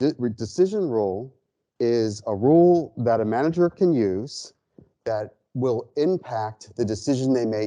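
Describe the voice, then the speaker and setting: The voice has a dark, mellow tone, heard over a quiet background. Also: man. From United States. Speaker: ecologist and statistical modeler; lecturer. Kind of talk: lecture. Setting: seminar room with audience. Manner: halting, many fillers and restarts. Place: classroom.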